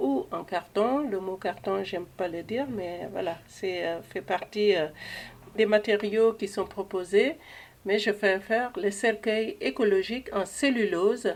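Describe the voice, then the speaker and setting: A normal speaking voice from a woman, medium in pitch, with ordinary pitch variation and a fairly slow pace. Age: 60s. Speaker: eco-friendly coffin seller, funeral advisor. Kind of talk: interview.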